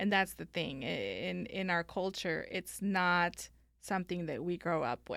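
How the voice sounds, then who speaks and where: Recorded very cleanly against a silent background, a woman with an American accent speaks at a fairly slow pace with vocal fry. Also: ordinary pitch variation. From Mexico (Guanajuato), then Northern California. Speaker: estate planning lawyer. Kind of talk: interview.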